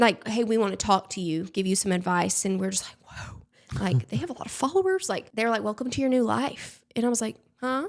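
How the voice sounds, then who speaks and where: A woman with a fairly high voice talks at a fairly quick pace, her intonation lively. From Alabama, US South. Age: 30s. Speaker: social media creator. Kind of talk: casual interview chat.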